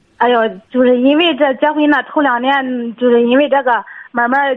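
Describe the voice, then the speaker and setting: A woman talks at a fairly quick pace. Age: 30s. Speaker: caller. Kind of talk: phone-in advice call. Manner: animated.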